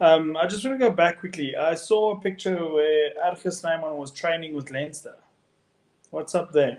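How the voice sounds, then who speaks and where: A man with a South African accent speaks at a moderate pace in a high pitch, using ordinary pitch variation. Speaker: rugby podcast co-host. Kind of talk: casual chat.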